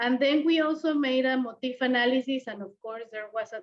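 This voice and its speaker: A woman talks at a high pitch. Her pace is moderate and her pitch variation ordinary. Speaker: scientist presenting research. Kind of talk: conference lecture. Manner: hesitant, many fillers.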